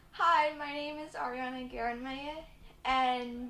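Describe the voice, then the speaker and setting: A woman's high-pitched voice with an American accent and fairly even intonation. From Virginia, US (Richmond). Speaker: university student. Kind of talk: personal story.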